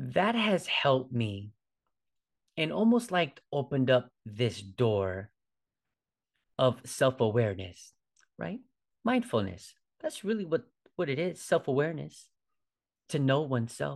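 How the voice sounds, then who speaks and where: Speaking at a fairly slow pace over a quiet background, a man leaves long, frequent pauses while his pitch swings very widely. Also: medium pitch for a man. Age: 40s. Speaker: fitness coach and yoga instructor podcast host. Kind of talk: solo podcast monologue. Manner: casual, with frequent fillers and repetitions.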